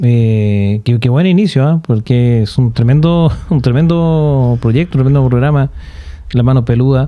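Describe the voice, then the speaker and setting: Over noticeable background noise, a man with a Chilean accent talks at a fairly slow pace, with a medium pitch, ordinary pitch variation and very even loudness. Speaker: podcast host. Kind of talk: casual chat.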